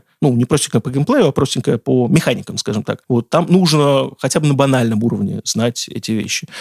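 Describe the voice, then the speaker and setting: With hardly any pauses, a man speaks at medium pitch with ordinary pitch variation, recorded dry and close with no echo. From Russia, Saratov. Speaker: video game journalist and editor. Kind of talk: casual interview. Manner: animated.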